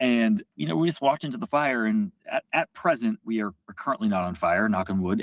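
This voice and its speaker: A man with a plain, everyday voice talks at a fairly quick pace and medium pitch with lively intonation, the sound dry and close with no echo. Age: 30s. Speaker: media executive, former journalist. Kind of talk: podcast interview.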